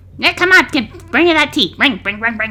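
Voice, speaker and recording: A put-on character voice, female-sounding and high-pitched, moves at a fairly quick pace. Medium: actual play. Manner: fussy, gossipy, old-fashioned phrasing.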